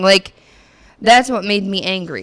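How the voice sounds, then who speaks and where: This loud woman has a medium pitch and a bright, sharp tone. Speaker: podcast co-host. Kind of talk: heated debate. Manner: animated.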